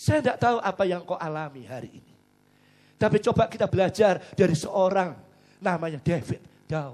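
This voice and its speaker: A man speaks at a fairly quick pace in a high pitch, with lively intonation. His loudness swings widely against a quiet background. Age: 60s. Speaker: pastor. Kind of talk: sermon.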